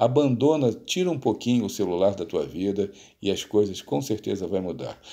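Against a quiet background, a man with a fairly low pitch and a dark, mellow tone talks at a moderate pace with lively intonation. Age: middle-aged. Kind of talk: motivational monologue to camera. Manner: informal, with frequent hesitations and repetitions. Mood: earnest, advising. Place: home room. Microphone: phone near.

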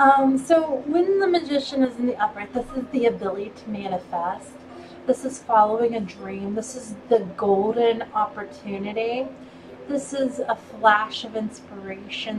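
Amid noticeable background noise, a woman talks at a moderate pace with ordinary pitch variation and big swings in loudness. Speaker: tarot reader. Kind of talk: tarot reading monologue.

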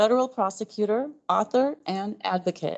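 Over a quiet background, a woman speaks at a moderate pace with ordinary pitch variation. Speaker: library host. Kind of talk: event introduction. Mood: warm, welcoming. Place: hall.

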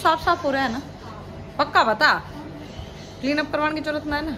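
Over crowd noise in the background, a woman raises and projects her high-pitched voice at a moderate pace. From Haryana. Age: 40s. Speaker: vlogger. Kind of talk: casual chat. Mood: cheerful, laughing. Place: home room. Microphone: phone near.

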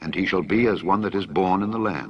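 A man talks at a moderate pace with a fairly low pitch. He has an ordinary speaking voice. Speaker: scripture reader. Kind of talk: reading aloud from the Bible.

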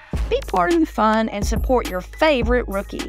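A woman speaks in an upbeat tone. Music plays in the background. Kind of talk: TV commercial read. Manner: upbeat, salesy.

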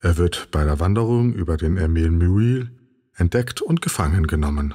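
This man's voice sits at a very deep, low pitch with a dark, mellow tone and a somewhat breathy quality. He keeps a calm, soothing tone at a moderate pace. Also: ordinary pitch variation, very even loudness. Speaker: narrator of a sleep podcast. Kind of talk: sleep story narration, informative encyclopedic reading.

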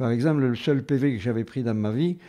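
With a dark, mellow tone and ordinary pitch variation, a man speaks against a quiet background. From southern France, Carmaux (Tarn); southern France. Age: old. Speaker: retired teacher. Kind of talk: radio interview, reminiscing. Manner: halting, repetitive.

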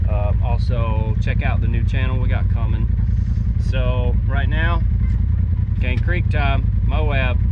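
A man at a very slow pace, with long, frequent pauses and loud background noise. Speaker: off-road vlogger. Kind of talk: casual vlog chat. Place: car. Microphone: phone near.

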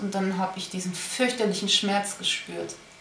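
There is audible room echo and light background noise as a woman speaks at a moderate pace. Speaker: diary vlogger. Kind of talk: personal diary monologue. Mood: quiet, heavy, reflective. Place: home room. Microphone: webcam.

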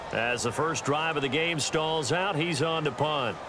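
Against noticeable background noise, a man with a fairly high voice speaks fairly slowly, his pitch varying in an ordinary way. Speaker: play-by-play sports commentator. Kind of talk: prerecorded video game football commentary. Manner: energetic broadcaster delivery.

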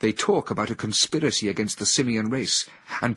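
Ordinary pitch variation across reading aloud in a natural voice

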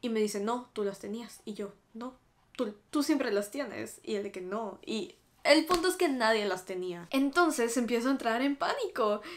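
A woman with a Mexican accent talks at a moderate pace in a fairly high pitch. Her tone is animated and her intonation lively. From Mexico. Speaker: YouTuber. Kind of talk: casual chat. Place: home room.

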